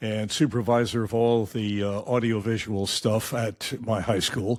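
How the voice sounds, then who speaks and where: A man with a Midwestern accent speaks at a moderate pace, fairly low in pitch with fairly even intonation. The recording is very clean with a silent background. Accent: American Midwest. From Michigan. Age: 80s+. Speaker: retired radio newsman. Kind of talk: interview.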